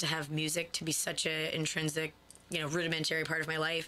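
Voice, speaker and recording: A woman's very deep, low-pitched voice with a bright, sharp tone, flat monotone intonation, a fairly quick pace and an American accent. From upstate New York. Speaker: singer-songwriter. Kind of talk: radio interview. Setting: radio studio.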